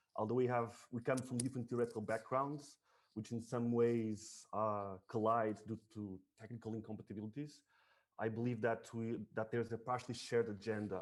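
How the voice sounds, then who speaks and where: A man speaks at a fairly quick pace in a medium pitch, his intonation monotone and flat. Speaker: artist and researcher. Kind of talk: academic talk. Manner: fast; halting.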